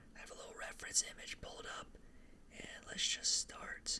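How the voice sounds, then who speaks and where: A whisper comes through with noticeable noise behind it. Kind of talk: ASMR whispered ramble while drawing, casual talk to camera. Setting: close-mic studio/room recording with drawing sounds. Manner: whispered, soft-spoken.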